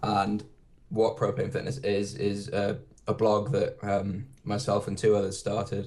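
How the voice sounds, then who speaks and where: A man with a British accent, fairly low in pitch, dark and mellow in tone and somewhat breathy. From UK. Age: 20s. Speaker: fitness blogger. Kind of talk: podcast interview. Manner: hesitant, many fillers.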